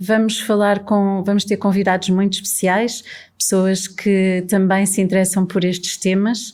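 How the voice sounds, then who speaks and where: In a very clean recording with a silent background, a woman talks at a fairly slow pace in a medium pitch, her intonation monotone and flat and her loudness very even. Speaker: podcast host. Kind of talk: podcast introduction.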